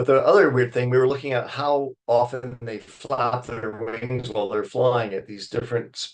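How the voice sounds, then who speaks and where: A man's plain, everyday voice at a moderate pace. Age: 60s. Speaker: wildlife biologist. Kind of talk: lecture. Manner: casual.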